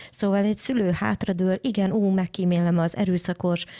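Over a quiet background, a woman with a dark, mellow tone speaks at a moderate pace and with fairly even intonation. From Hungary. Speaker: internet lawyer; radio show host or guest. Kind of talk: panel discussion. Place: studio.

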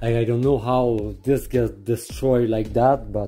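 Faint music sits in the background as a man speaks at a very slow pace with fairly even intonation. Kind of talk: casual exploration commentary. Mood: curious, slightly amazed. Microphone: phone near.

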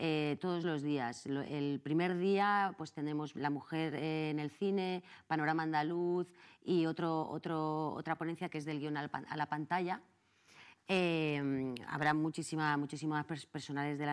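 With a quiet background, a woman of very deep, low pitch speaks at a fairly slow pace and with fairly even intonation. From Madrid. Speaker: actress and film festival director; actress. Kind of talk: interview. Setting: TV studio. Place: studio.

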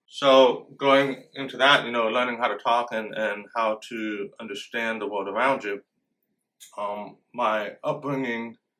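With an American accent, a man speaks at a fairly slow pace in a medium pitch. His tone is bright and sharp, his intonation fairly even. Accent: hard-to-place accent shaped by deafness. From Florida, US South. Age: 40s. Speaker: deaf man sharing his life story. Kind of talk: personal life story testimony. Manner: hesitant, many fillers and repetitions. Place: studio.

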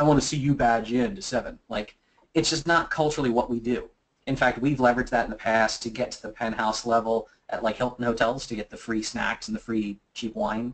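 With an American accent, a man at a medium pitch speaks at a fairly quick pace with ordinary pitch variation. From US mid-Atlantic, Philadelphia. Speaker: physical penetration tester and security presenter; presenter. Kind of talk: webinar presentation; Q&A answering audience questions. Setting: online webinar. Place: office. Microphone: webcam.

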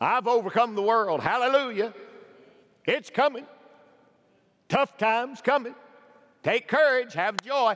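With an animated tone and extremely high pitch, a man talks at a fairly slow pace, leaving long, frequent pauses, his pitch varying an ordinary amount. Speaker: pastor. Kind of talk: sermon. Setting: church. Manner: animated, exhorting, with rhetorical questions and calls for amens. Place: church. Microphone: headset.

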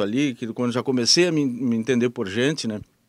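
Recorded dry with no echo, a man talks at a moderate pace and medium pitch. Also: quiet background. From Rio Grande do Sul, Brazil (Alegrete); Rio Grande do Sul, Brazil. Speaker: radio host. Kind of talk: interview. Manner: halting. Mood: relaxed, reminiscing. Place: studio. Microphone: handheld.

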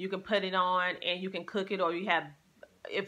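With a bright, sharp tone, a woman speaks at a fairly quick pace in a fairly low pitch.

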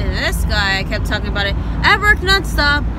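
Against loud background noise, a woman's voice sounds dry with no echo. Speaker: vlogger on road trip. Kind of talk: casual vlog chat. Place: car. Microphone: phone near.

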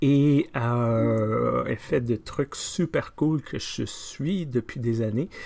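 A man speaks at a very slow pace. He hardly pauses at all. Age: 50s. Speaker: pastor. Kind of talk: casual video diary. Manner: hesitant, many fillers. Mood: warm, upbeat. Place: office. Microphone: webcam.

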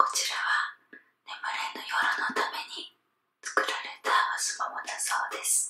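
Whispering at a moderate pace. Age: 30s. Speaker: ASMR video creator. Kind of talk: ASMR bath bomb demo, whispered talk to camera. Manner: whispered, soft, relaxing. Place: bathroom. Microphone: phone near.

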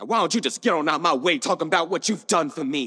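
A man talks in a bright, sharp tone. Behind him the background is quiet. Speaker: actor performing a monologue. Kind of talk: dramatic monologue. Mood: angry, confrontational. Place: stage.

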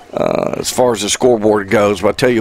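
Noticeable background noise runs under this recording. A man speaks at a medium pitch with fairly even intonation. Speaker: color commentator. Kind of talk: live sports commentary, analysis. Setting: stadium press box, live broadcast. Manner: relaxed, conversational.

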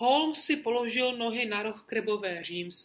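The speaker reads in an unforced voice.

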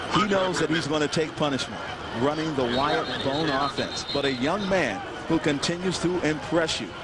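A man speaks at a moderate pace in a fairly high pitch, with ordinary pitch variation. There is noticeable background noise. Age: 40s. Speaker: play-by-play announcer. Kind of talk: live commentary. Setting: stadium broadcast booth. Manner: animated.

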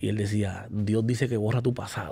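A man speaks at a moderate pace in a dark, mellow, somewhat breathy voice with a fairly low pitch. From Puerto Rico. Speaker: guest. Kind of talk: testimony. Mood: emotional, reflective. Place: studio. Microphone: studio mic.

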